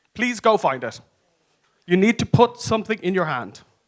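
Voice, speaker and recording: Someone with an Irish accent speaks in an animated tone with lively intonation. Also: man. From Ireland. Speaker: advocacy consultant and conference speaker. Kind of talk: conference talk. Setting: stage with audience.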